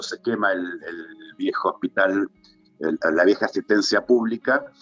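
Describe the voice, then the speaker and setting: Music plays in the background as a man speaks at a fairly slow pace. The sound is dry and close, with no echo. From Tierra del Fuego, Argentina. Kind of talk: interview answer.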